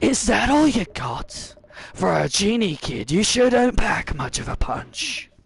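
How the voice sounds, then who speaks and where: The speaker uses a put-on character voice at a fairly high pitch. The pace is fairly slow. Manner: gruff, swaggering, taunting.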